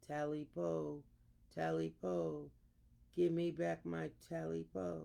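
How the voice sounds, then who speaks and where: A man puts on a character voice, very deep and low in pitch, speaking at a very slow pace. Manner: creepy.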